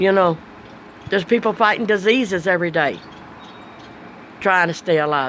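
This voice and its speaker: Speaking at a moderate pace and medium pitch, a woman uses lively intonation while noticeable background noise plays behind her. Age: 60s. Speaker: vlogger. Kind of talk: casual monologue. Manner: plain spoken.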